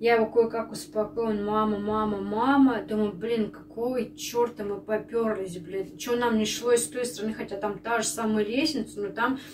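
With music in the background, a woman talks at a moderate pace and with ordinary pitch variation. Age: 30s. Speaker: stay-at-home mom vlogger. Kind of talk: casual vlog talk to camera. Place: kitchen.

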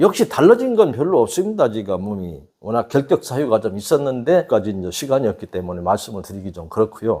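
Talking at a moderate pace, a man swings his pitch very widely. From rural South Korea. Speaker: natural health instructor. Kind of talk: health talk to camera.

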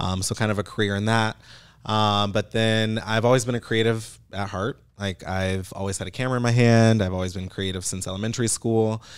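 Over a quiet background, a man with a fairly low voice speaks at a fairly quick pace in monotone, flat intonation. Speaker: digital marketer. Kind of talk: casual chat. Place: studio. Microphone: studio mic.

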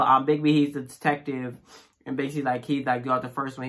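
Over a quiet background, a man talks in monotone, flat intonation. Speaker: reaction channel host. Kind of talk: casual commentary. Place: home room. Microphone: phone near.

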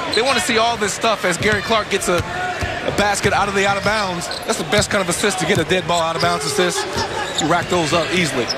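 Over noticeable background noise, a man with a high pitch speaks very fast in a raised, projected voice, animated in tone, with very even loudness and ordinary pitch variation. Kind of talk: live color commentary, courtside analysis. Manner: animated, fluent, emphatic analyst.

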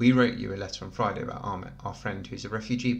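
Text is read out loud in an unforced voice.

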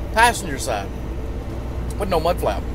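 There is noticeable background noise as the man goes at a fairly quick pace, his sound dry with no echo. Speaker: truck driver vlogger. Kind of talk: casual vlog chat. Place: car. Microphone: phone near.

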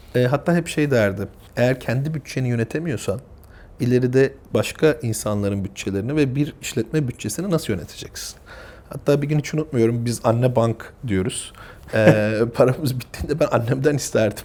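Using a plain, everyday voice, a man talks at a moderate pace with medium pitch and ordinary pitch variation. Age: 30s. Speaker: family business executive. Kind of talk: interview.

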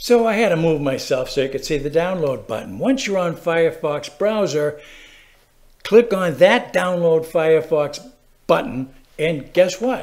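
Over a quiet background, a man talks at a fairly slow pace. His pitch is high and his intonation lively. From Massachusetts. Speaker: how-to video presenter. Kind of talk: tutorial. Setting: screen-recorded video. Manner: casual, chatty, animated.

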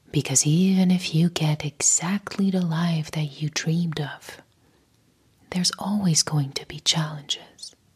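With a fairly low pitch and fairly even intonation, a woman speaks over a quiet background. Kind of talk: motivational talk to camera. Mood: soft, calm, soothing. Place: home room. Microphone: lapel.

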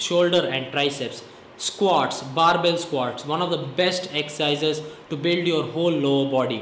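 A man's high voice at a fairly slow pace, with audible room echo and light background noise. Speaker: fitness vlogger. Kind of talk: casual fitness advice talk to camera. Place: home room. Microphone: phone near.

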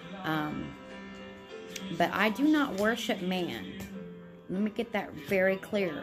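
Lively intonation at a very slow pace, with clear music in the background. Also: woman. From United States. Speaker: religious vlogger. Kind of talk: religious talk to camera. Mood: calm, earnest, devout. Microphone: phone near.

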